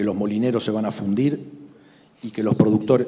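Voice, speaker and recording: This man's voice has a dark, mellow tone and sits fairly low in pitch. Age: 60s. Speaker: grain broker. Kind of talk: panel discussion.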